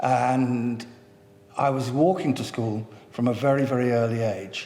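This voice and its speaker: A man with a London accent speaks at a fairly slow pace and medium pitch. His pitch varies in an ordinary way, with audible room echo and noticeable background noise. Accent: southern English, educated London. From North London, England. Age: 70s. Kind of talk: oral history interview. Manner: halting, with many fillers and repetitions.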